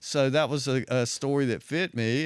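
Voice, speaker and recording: Here a man talks with a strong southwest Virginia accent. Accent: heavy southwest Virginia. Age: 60s. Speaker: retired undercover police officer. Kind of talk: interview storytelling. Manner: casual, conversational.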